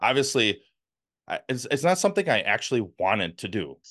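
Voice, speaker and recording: Lively intonation from a man with a Wisconsin accent. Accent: northern US (Wisconsin). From US Midwest, Milwaukee, Wisconsin. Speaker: former FBI agent and whistleblower. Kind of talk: interview.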